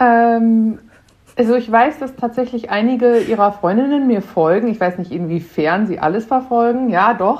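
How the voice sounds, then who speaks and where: A woman speaks in an unremarkable speaking voice, fairly high-pitched, at a moderate pace with ordinary pitch variation. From Germany, Münster (NRW). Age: 30s. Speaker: cook and mother. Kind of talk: casual chat.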